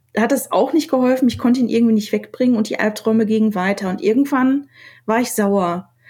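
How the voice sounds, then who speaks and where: A woman speaks in a somewhat breathy voice. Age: 30s. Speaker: designer and poet. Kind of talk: casual chat. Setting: remote call.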